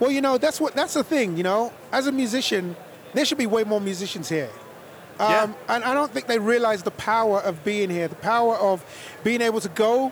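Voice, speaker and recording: A man with an American accent talks at a fairly quick pace, his high voice full of lively intonation. Noticeable background noise runs underneath. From London, England. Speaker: singer. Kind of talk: casual chat.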